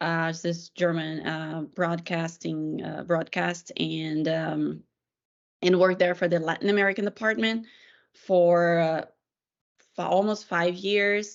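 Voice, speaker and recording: In a Portuguese accent, a woman speaks fairly slowly at a fairly low pitch with flat, monotone intonation. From Brazil, Brasilia. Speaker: PR professional, former journalist. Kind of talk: casual discussion.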